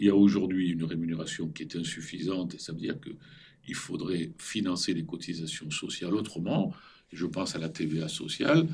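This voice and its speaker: With audible room echo, a man speaks at a fairly quick pace in a very deep, low pitch. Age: 70s. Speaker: former central banker and business school teacher. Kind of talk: interview. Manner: animated.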